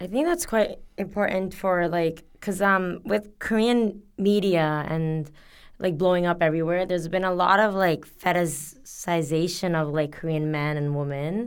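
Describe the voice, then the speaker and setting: A woman's fairly low voice moves at a moderate pace, its pitch rising and falling in an ordinary way. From Canada. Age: 20s. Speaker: English teacher. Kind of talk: casual chat.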